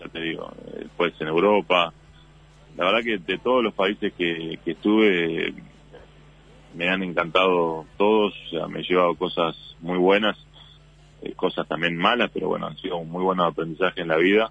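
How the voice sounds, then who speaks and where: A man's very deep, low voice at a moderate pace, broken by long, frequent pauses. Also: fairly even intonation. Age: 30s. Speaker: basketball player. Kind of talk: radio interview.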